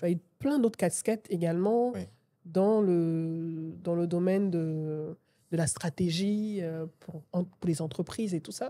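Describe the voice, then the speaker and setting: With a dark, mellow tone, a woman speaks very slowly at a fairly low pitch with ordinary pitch variation. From Côte d'Ivoire. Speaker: podcast host. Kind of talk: interview conversation. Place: studio. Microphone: studio mic.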